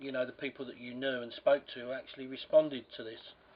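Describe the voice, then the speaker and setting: Noticeable noise behind speech with monotone, flat intonation. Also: man. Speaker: magnet therapist, interviewer. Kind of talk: interviewer questions.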